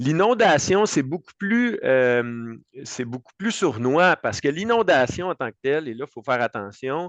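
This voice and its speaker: In a Quebec accent, a man with a fairly high pitch makes very wide pitch swings, recorded with a dry, close sound with no echo against a quiet background. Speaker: insurance broker. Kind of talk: expert panel discussion. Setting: web radio show. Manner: fast.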